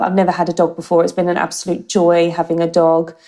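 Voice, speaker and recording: A woman talks with a slight Australian accent. Her pitch is fairly low and her tone dark and mellow. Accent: English with slight Australian twang. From UK. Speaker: marketing director. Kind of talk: interview.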